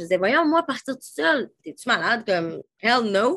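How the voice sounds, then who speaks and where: A woman's fairly high, animated voice with a Quebec accent. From Quebec City. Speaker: holistic coach. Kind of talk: casual interview chat.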